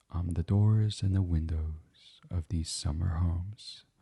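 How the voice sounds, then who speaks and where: A man speaks very slowly in a dark, mellow, gentle and soothing tone, somewhat breathy, with ordinary pitch variation and a dry, close sound with no echo. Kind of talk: sleep story, guided meditation reading. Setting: studio microphone recording. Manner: gentle, soothing.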